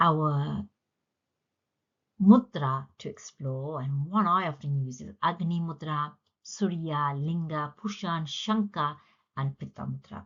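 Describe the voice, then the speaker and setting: This very slow, somewhat breathy voice has a Punjabi accent and long, frequent pauses. Its intonation is lively and its loudness swings widely. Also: woman, very deep, low pitch for a woman. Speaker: yoga teacher. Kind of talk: lecture.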